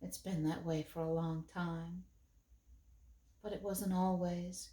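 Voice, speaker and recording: A woman puts on a wheezy character voice with fairly low pitch and a weary tone. She talks at a fairly slow pace with monotone, flat intonation. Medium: read story. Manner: weary, slow.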